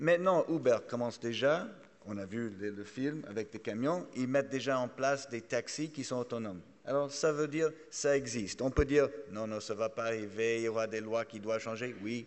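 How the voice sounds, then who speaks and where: A man speaks with a strong English accent at a moderate pace. His pitch is medium, with ordinary pitch variation. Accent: strongly English-accented French. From Canada. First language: English (speaking French). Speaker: trade association executive, panelist. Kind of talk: conference panel talk. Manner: halting, many repetitions.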